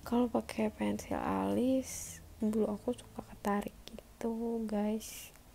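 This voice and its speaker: A woman speaks at a very slow pace with hardly any pauses over light background noise. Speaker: beauty vlogger. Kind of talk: casual makeup vlog. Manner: casual, chatty. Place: home room. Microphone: phone near.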